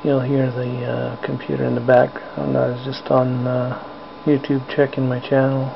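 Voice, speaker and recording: A man talks at a moderate speed. Noticeable background noise can be heard beneath him. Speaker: hobbyist spider keeper vlogger. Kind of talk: casual live narration. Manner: whispering; hesitant, many fillers. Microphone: cheap camera mic, picks up every sound, loud.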